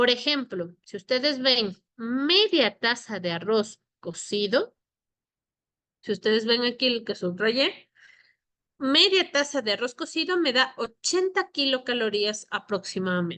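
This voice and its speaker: Against a quiet background, a woman speaks at a high pitch with a bright, sharp tone and very wide pitch swings. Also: fairly slow pace. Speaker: nutritionist teaching a course. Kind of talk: lecture.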